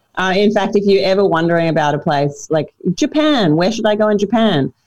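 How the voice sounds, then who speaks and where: The voice has a dark, mellow tone and an Australian accent. It moves at a fairly quick pace with lively intonation. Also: woman. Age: 30s. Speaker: comedian and former radio host. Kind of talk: casual chat.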